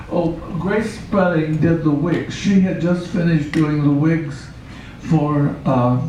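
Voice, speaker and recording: A man with an American accent speaks at a very slow pace, his pitch fairly high and its variation ordinary. Noticeable background noise and audible room echo fill the recording. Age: 90s. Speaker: puppeteer. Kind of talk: interview. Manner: halting.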